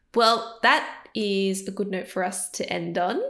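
The voice has a bright, sharp tone, vocal fry, and fairly even intonation, in an Australian accent. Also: woman. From Sydney, Cabramatta area. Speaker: podcast co-host. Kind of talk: casual interview chat.

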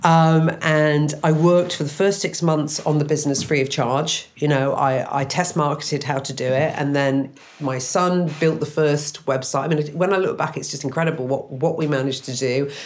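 In an English accent, a woman talks at a moderate pace with a very deep, low pitch, fairly even intonation and hardly any pauses. The room echo is audible and background noise is noticeable. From English Midlands. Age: 50s. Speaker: matchmaking business owner. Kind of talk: interview testimony. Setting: remote studio.

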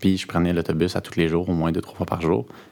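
At a fairly quick pace, a man speaks with a very deep, low pitch in a very clean recording with a silent background. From Quebec, Eastern Townships (Bolton West). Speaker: university student. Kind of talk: interview.

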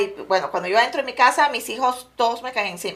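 Talking very fast, a woman uses ordinary pitch variation. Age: 40s. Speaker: real estate agent. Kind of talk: casual interview. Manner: mixes English into Spanish.

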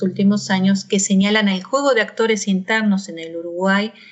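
The speech is somewhat breathy and moves at a moderate pace. Intonation stays fairly even. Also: woman. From Argentina. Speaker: university professor. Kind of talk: interview.

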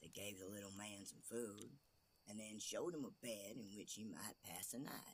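A man at a moderate pace, fairly low in pitch, with ordinary pitch variation.

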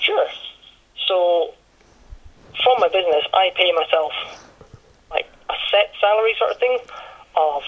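With noticeable background noise behind him, a man talks at a moderate pace in a Highland Scottish accent. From Scottish Highlands. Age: 20s. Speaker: online business owner. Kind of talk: interview.

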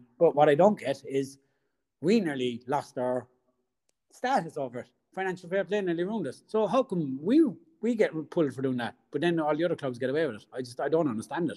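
With a Cork accent and a dark, mellow tone, the speaker moves at a fairly quick pace, using lively intonation and big swings in loudness. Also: man, fairly high pitch for a man. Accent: Irish (Cork). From Ireland. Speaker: football fan. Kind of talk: casual interview. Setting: remote call.

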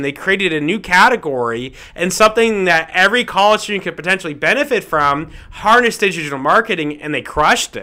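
This man talks at a fairly quick pace with an American accent and lively intonation. His voice is high and has a bright, sharp tone. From US South, Fort Lauderdale, Florida. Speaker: entrepreneur, former engineer. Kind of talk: casual interview.

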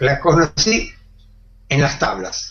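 A man talks at a fairly slow pace over music playing in the background. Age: 70s. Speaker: makeup artist and actor. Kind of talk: interview. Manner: halting, repeats words.

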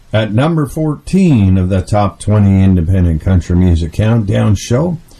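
A man talks at a very slow pace in a somewhat breathy voice, his pitch swinging very widely. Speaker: radio host. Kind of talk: radio DJ patter, chatty countdown-show host banter. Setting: studio. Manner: upbeat, folksy, chatty, fillers and repeated catchphrases; enthusiastic, warm, pushes on with 'let us get on with the show'.

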